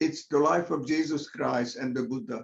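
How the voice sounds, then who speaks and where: A man with a Hungarian accent speaks at a very slow pace. His fairly high voice has lively intonation. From Hungary. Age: 80s+. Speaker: Zoom meditation participant. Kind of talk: casual sharing in group discussion. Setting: video call.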